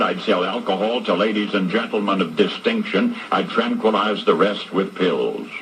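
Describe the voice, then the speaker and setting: Noticeable background noise sits under a man with an American accent speaking at a moderate pace. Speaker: radio broadcaster. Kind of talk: radio commentary monologue.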